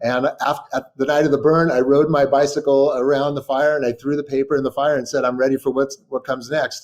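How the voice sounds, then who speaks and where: A fairly high-pitched man with an American accent, fairly quick and flat in a monotone, with hardly any pauses. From California, Sacramento. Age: 60s. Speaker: writer and journalist. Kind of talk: interview. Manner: halting, many fillers and repetitions.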